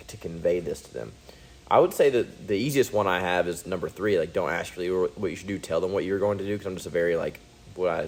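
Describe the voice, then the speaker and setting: A man is speaking. His pace is very fast. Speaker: jiu-jitsu practitioner and book club co-host. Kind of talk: casual book discussion.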